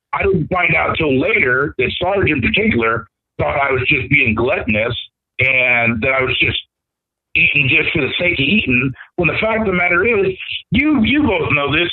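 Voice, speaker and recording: Speaking at a moderate pace with an American accent, a man with a fairly high pitch makes very wide pitch swings while keeping his loudness very even. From Iowa, US Midwest. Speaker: former reality show contestant. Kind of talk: casual interview chat. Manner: energetic, charismatic.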